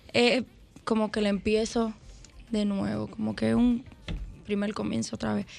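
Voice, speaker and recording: A woman at a moderate pace, with long, frequent pauses. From Dominican Republic, Santo Domingo. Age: 20s. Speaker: urban music singer. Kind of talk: interview.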